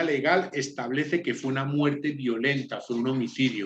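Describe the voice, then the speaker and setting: Speaking at a moderate pace, a man has a Spanish accent. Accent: Spanish (Spain). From Spain. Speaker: law student. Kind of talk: class presentation.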